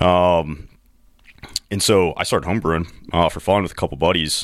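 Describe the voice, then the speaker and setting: On a very clean recording with a silent background, a man with an American accent speaks at a very deep, low pitch with fairly even intonation. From US Midwest, rural Missouri. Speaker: brewery co-owner and army veteran. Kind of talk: casual chat. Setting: studio.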